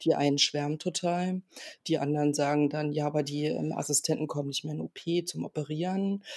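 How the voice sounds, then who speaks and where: A woman's very deep, low voice, fairly quick and fairly even in intonation, in a dry, close recording with no echo. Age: 40s. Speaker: trauma surgeon. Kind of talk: interview.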